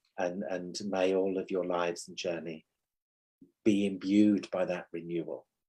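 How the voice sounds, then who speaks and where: In a very deep, low pitch and a dark, mellow tone, a man speaks fairly slowly with monotone, flat intonation and big swings in loudness. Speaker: spiritual medium and teacher. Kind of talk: spiritual conversation. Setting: podcast livestream.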